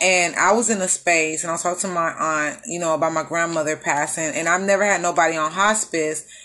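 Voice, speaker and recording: An ordinary speaking voice with an American accent moves at a fairly quick pace. The intonation stays fairly even. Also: woman. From Houston, Texas. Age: 30s. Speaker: podcast host. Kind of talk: casual chat.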